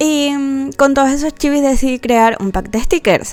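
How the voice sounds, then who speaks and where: With noticeable noise behind her, a high-pitched woman talks at a moderate speed. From Canary Islands, Spain. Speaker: artist and content creator. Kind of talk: casual narration over speedpaint.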